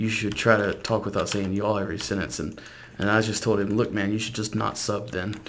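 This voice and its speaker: Audible room echo surrounds the speaker. He is a man with an American accent. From South Louisiana. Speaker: gaming YouTuber. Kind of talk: casual gameplay commentary.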